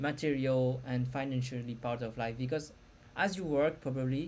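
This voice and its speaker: A woman with a non-native accent speaks at a fairly slow pace. Her pitch is very deep and low. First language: not English. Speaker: spiritual content creator. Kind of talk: casual talk to camera. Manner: halting.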